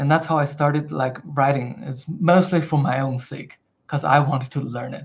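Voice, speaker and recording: A somewhat breathy man with a non-native accent speaks at a moderate pace with fairly even intonation. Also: fairly high pitch for a man. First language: not English. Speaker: software engineer and community member. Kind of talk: casual interview chat. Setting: live online event.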